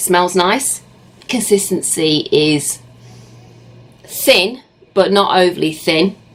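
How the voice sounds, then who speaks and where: Against noticeable background noise, a woman talks at a very slow pace with long, frequent pauses, ordinary pitch variation and very even loudness. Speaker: beauty vlogger. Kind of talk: product review tutorial. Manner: casual chatty.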